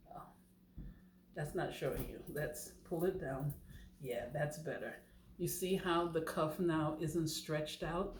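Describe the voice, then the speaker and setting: A woman with a fairly low, somewhat breathy voice speaks at a fairly slow pace with fairly even intonation and long, frequent pauses, amid audible room echo. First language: not English. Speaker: knitting channel host. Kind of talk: tutorial. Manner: casual, chatty.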